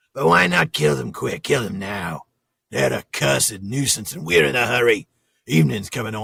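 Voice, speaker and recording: Using a raspy, put-on character voice, a man speaks at a moderate pace in a fairly low pitch. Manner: brutish, impatient.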